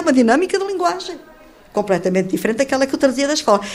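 Very wide pitch swings from a woman, with noticeable background noise behind her. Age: 70s. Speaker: former mayor and retired teacher. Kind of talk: interview testimony.

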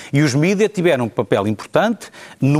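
Delivered at a moderate pace with lively intonation, a plain, everyday voice comes through in a dry, close sound with no echo. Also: man. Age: 40s. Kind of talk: panel debate.

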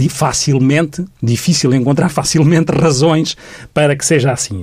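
A man speaks with a fairly high pitch, a somewhat breathy quality, and ordinary variation in pitch. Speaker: mental health professional. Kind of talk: radio interview.

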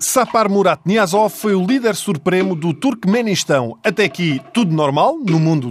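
A man with a European Portuguese accent at a moderate pace and with lively intonation, amid noticeable background noise. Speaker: comedy show host. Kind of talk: comedic scripted monologue. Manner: animated.

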